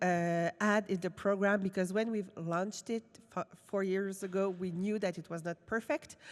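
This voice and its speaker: A woman with a Quebec accent at a fairly slow pace, her pitch varying in an ordinary way. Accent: francophone Quebec. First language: French. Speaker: film industry program director. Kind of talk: conference presentation. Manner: halting.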